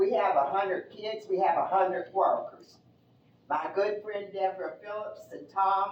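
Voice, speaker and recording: Her volume rising and falling sharply, a woman speaks at a moderate speed. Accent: East Tennessee. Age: 80s+. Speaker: resident speaking at public meeting. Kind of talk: public comment at town meeting.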